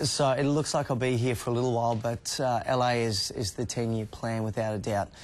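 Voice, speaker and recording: Speaking with an Australian accent at a medium pitch, a man keeps a fairly quick pace with hardly any pauses, very even loudness and fairly even intonation. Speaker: actor. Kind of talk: TV interview.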